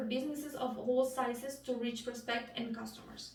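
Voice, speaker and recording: In a Spanish accent, a woman speaks at a high pitch, with audible echo in the room. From Bolivia. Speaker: student. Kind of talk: class speech.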